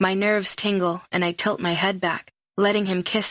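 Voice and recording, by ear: Someone reads aloud in a natural voice with fairly even intonation over a quiet background.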